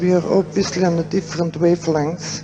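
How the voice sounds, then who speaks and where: A woman speaks quietly. Music plays in the background. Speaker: psychiatrist and author on death and dying. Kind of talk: conference lecture. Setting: theater, poor quality recording.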